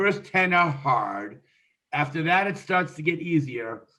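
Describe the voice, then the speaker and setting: A man speaks at a moderate pace in a plain, everyday voice. His pitch varies in an ordinary way. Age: 60s. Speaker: real estate investor. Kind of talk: interview.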